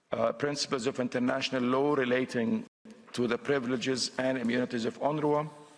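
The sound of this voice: This is a man at a medium pitch. His intonation stays fairly even. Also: fairly quick pace.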